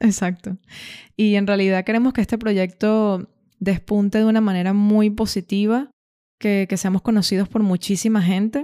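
Recorded very cleanly against a silent background, the sound is dry and close with no echo. A woman with a dark, mellow tone and medium pitch speaks at a moderate pace, with fairly even intonation and very even loudness. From Venezuela, Caracas. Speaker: podcast host. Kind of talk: casual chat.

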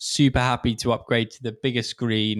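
On a very clean recording with a silent background and a dry, close sound with no echo, a man with an English accent speaks at a moderate pace and medium pitch. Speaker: podcast host. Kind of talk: casual chat.

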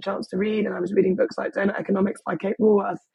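Somewhat breathy, a woman with an English accent speaks at a medium pitch. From England. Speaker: boutique hotel owner. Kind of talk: interview.

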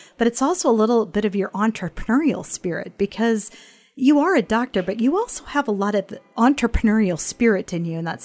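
A woman talks at a fairly quick pace with ordinary pitch variation and an unremarkable speaking voice. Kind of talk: interview, podcast host.

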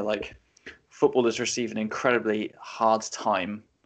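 This man speaks with an English accent at a medium pitch. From England. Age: 20s. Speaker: football podcast co-host. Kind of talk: casual panel discussion. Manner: animated, repetitive restarts.

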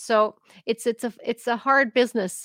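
This woman talks at a moderate pace in a fairly high pitch, with fairly even intonation and a dry, close sound with no echo. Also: fairly bright tone.

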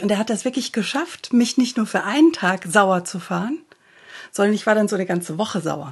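A woman's somewhat breathy, medium-pitched voice at a moderate pace, with lively intonation. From Germany. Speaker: coach and podcast host. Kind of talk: interview.

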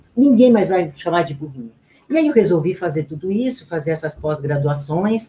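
A woman speaks with lively intonation. Her voice has a dark, mellow tone and is somewhat breathy. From Brazil, interior of São Paulo state (Garça). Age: 50s. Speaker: relationship coach and speaker. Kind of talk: radio interview. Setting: radio studio, live.

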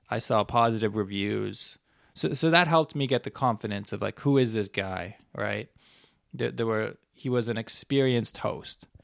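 Fairly low in pitch, a man speaks at a moderate pace with ordinary pitch variation. He has a normal speaking voice, recorded very cleanly against a silent background. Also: dry, close sound with no echo. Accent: Canadian. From Canada. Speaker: podcast host and traveler. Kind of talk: solo monologue, casual storytelling. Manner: casual, conversational, rambling with filler words.

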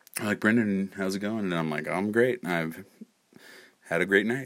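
In a very clean recording with a silent background, a man with an American accent and a very deep, low pitch talks at a moderate pace. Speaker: podcast host. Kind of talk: casual storytelling monologue. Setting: at home at night. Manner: soft-spoken.

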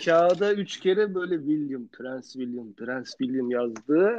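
A slightly mellow tone at a fairly slow pace. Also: man, fairly high pitch for a man, lively intonation.

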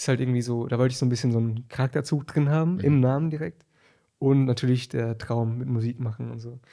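Speaking very fast with fairly even intonation, a man's medium-pitched voice carries a dark, mellow tone on a very clean recording with a silent background. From Berlin. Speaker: musician. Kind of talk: casual chat.

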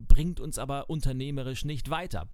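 A man at a moderate pace, ordinary pitch variation, audible echo from the room. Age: 40s. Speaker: podcast host, keynote speaker and change coach. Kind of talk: solo podcast monologue.

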